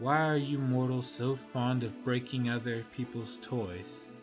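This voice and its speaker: Clear music plays in the background as a man speaks in a breathy, put-on character voice. His pitch is medium and his pace fairly slow. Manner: mocking, disdainful.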